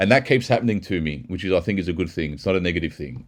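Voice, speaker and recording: Against a quiet background, a speaker with an Australian accent talks at a very fast pace with lively intonation and an animated tone. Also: man. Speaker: techno producer and mastering engineer. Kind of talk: casual video commentary. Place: studio.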